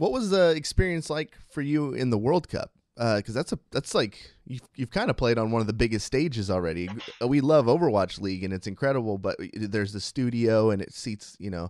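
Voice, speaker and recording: Speaking fairly quickly in a normal speaking voice, a man at medium pitch uses lively intonation, with a dry, close sound and no echo. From US West Coast, Sacramento. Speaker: esports interviewer. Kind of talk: casual interview.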